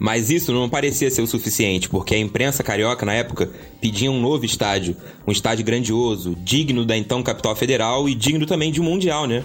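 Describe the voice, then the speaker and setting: A man speaks in a normal speaking voice at medium pitch, with ordinary pitch variation, very even loudness and a fairly quick pace. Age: 20s. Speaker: podcast host. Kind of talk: scripted narration.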